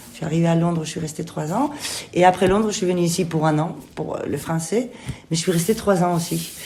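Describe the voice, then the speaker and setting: A woman with a slight Spanish accent speaks at a fairly quick pace in a fairly low voice. Noticeable background noise and audible room echo fill the recording. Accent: slight singing Spanish. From Spain. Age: 50s. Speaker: theatre director and actress. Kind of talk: interview. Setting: theatre kitchen room. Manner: hesitant, many fillers.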